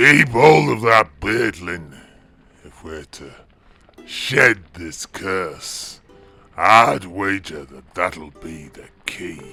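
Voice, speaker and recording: A man's raspy put-on character voice, very deep and low, at a very slow pace with faint music in the background. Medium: read story. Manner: gruff, grave.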